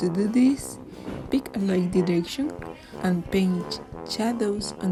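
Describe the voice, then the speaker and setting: A woman with a strong Spanish accent speaks at a fairly slow pace as music plays in the background. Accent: thick Spanish. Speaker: digital illustrator. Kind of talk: art software tutorial narration.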